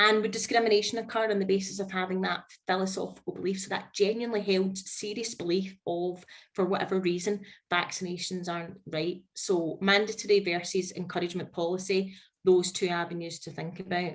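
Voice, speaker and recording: A woman's medium-pitched voice with a Scottish accent, flat and monotone, at a fairly quick pace. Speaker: HR consultant. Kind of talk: webinar presentation. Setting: online webinar.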